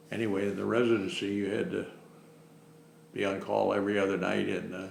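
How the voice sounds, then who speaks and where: A man with a Midwestern American accent talking at a very fast pace, with audible room echo and noticeable background noise. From Ohio, Cincinnati. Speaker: retired family doctor. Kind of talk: oral history interview. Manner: halting, many fillers.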